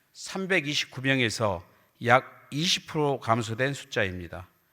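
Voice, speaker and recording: On a very clean recording with a silent background, a man with a bright, sharp tone speaks at medium pitch and a very slow pace. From Hwasun, South Jeolla, Korea. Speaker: provincial council member. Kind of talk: formal council speech. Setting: council chamber with audience. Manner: formal.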